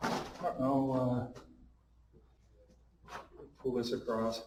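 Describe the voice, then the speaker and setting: Audible room echo surrounds the voice. A man talks at a medium pitch. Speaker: map collector and cartographer. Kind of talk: seminar talk. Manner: fast; halting, many fillers.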